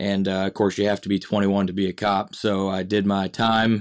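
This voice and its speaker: Speaking fast-ish at a fairly low pitch, a man with an American accent keeps a monotone, flat intonation on a very clean recording with a silent background. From Michigan. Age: 30s. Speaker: police officer and school resource officer. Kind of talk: casual podcast interview.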